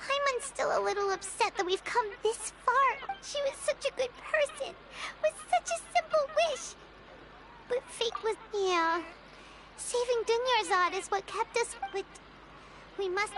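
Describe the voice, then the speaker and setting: A put-on character voice at an extremely high pitch moves at a moderate pace with long, frequent pauses over clear background noise. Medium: fan dub. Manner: curious, blunt.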